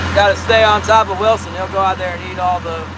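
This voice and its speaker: Noticeable background noise sits under the voice. The delivery keeps a moderate pace. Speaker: fishing livestreamer. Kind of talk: live stream chat.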